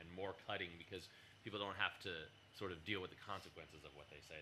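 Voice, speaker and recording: A man's very deep, low pitch with a bright, sharp tone, lively intonation, and a very fast pace. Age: adult. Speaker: musician panelist. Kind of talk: panel discussion.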